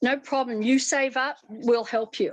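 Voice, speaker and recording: At a moderate pace, a woman speaks in an Australian accent. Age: 70s. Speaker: fashion and costume designer. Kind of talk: interview. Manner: animated.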